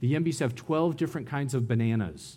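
With an American accent and a dark, mellow tone, a man talks at a fairly quick pace amid audible room echo. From US, San Diego. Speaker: missionary preacher. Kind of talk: sermon.

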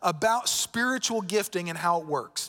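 In a Southern US accent, a man with a bright, sharp tone talks at a fairly slow pace. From Florida. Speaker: pastor. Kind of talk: sermon. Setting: church.

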